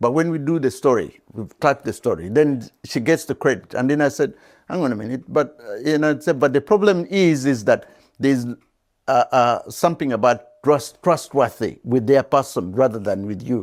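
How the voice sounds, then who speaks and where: Speaking at a moderate pace, a man with an African accent has a fairly high voice and lively intonation. The recording is very clean, with a silent background. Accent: non-British African. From Uganda. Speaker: veteran journalist. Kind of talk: interview. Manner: halting.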